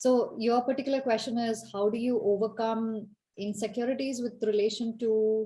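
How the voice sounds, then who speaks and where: A woman's fairly high, somewhat breathy voice has a dark, mellow tone and a monotone, flat intonation at a moderate pace. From India, Kerala. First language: Malayalam. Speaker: leadership coach. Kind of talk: Q&A answer in online talk.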